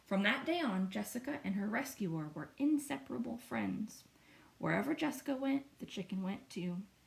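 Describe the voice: The clip is plain reading aloud.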